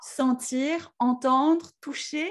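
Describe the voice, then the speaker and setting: A woman speaks in a high-pitched voice. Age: 40s. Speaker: podcast host. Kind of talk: interview.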